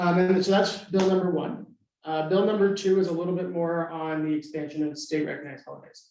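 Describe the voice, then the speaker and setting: Audible room echo surrounds a man's voice. He speaks at a high pitch and a fairly quick pace. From Southern Nevada. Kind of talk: forum presentation. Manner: casual with frequent fillers.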